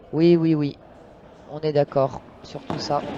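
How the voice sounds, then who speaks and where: Someone soft-spoken talks very slowly. Background noise is noticeable. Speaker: padel commentator. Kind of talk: live commentary. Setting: courtside at a live match. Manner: hesitant with frequent fillers.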